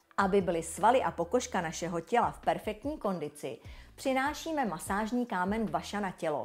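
Upbeat woman's voice at medium pitch, with very wide pitch swings and a moderate pace, over music in the background. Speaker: brand presenter. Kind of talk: infomercial. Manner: polished, upbeat sales-presenter delivery; smooth, enthusiastic, flowery, sensual product-praising tone.

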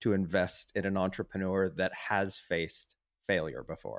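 On a very clean recording with a silent background, a man with an American accent uses an unremarkable speaking voice, fairly low in pitch, with fairly even intonation at a fairly slow pace. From half American, half German. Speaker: podcast co-host. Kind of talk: interview.

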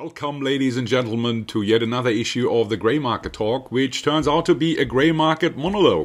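Speaking at a fairly quick pace with a German accent, the voice shows ordinary pitch variation and hardly any pauses. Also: man. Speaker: market commentator. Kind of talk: market analysis monologue with slides. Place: home room. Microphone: webcam.

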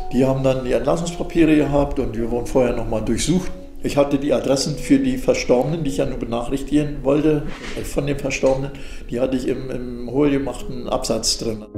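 Over clear background music and audible room echo, the speaker talks at a fairly quick pace with fairly even intonation. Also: man, fairly high pitch for a man. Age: 80s+. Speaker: former prisoner of a Soviet special camp, eyewitness. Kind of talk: eyewitness interview answer. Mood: calm, reflective recollection.

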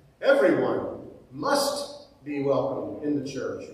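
There is strong room echo around this man's voice. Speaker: preacher. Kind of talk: sermon. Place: church. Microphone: podium.

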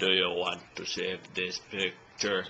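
Putting on a character voice, a man talks at a fairly slow pace over clear background noise. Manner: stretched out, glitchy.

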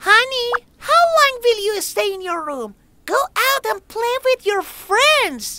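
At a fairly slow pace, a female-sounding cartoonish character voice speaks at an extremely high pitch. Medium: puppet.

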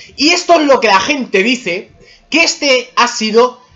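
With very wide pitch swings, a man speaks at a high pitch. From Spain. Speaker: gaming YouTuber; gaming vlogger. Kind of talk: personal opinion monologue. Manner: casual, heated. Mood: annoyed, ranting. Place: home room. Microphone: webcam.

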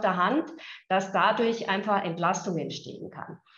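A woman speaks at a fairly slow pace with a somewhat breathy voice. Room echo is audible around her. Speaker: health insurance executive. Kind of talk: video interview. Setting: video call. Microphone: video call.

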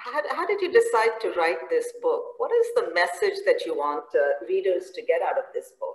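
A woman's voice with audible room echo against a quiet background. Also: moderate pace. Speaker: professor and conference moderator. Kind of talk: interview. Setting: video call. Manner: hesitant, many fillers. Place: home room. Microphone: video call.

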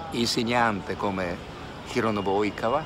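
There is noticeable background noise as a man talks with a Japanese accent. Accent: Japanese-accented Italian. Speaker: actor, mime, translator, voice dubbing artist. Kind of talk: interview answer. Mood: calm, reflective. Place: street. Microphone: phone near.

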